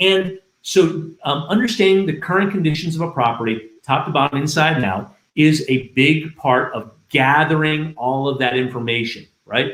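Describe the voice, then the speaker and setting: At a moderate pace, a man speaks with a fairly high pitch and lively intonation. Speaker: restoration industry trainer. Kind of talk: livestream training talk. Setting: livestream. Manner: loud; clearly enunciated.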